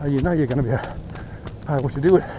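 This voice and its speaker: A man with an Australian accent speaks at a fairly quick pace and a fairly high pitch, with noticeable background noise behind him. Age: 60s. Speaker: amateur runner vlogger. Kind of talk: casual vlog monologue while running. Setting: outdoors on a run in rain.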